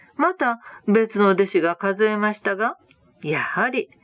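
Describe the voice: The speaker simply reads the text out. Intonation holds mostly level throughout.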